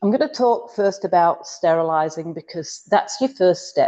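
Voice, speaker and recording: A woman speaks at a moderate pace in a fairly low voice with a dark, mellow tone. Her intonation is lively against a quiet background. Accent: Yorkshire. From northern England, Yorkshire. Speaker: cooking appliance consultant. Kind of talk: online workshop demo. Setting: video call.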